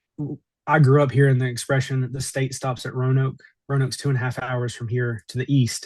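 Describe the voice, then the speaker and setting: Fairly quick and flat in a monotone, a man speaks with an American accent. His medium-pitched voice is somewhat breathy. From Southwest Virginia (Appalachia). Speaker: mayor. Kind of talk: interview. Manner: halting, many repeated words.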